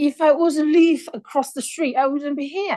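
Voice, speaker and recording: Against a quiet background, a woman with a non-native accent speaks in a high pitch. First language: not English. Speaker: objecting resident. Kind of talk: public hearing testimony.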